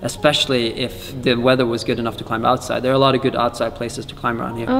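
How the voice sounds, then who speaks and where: A man speaks with monotone, flat intonation. Faint music plays in the background. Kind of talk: interview answer. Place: gym.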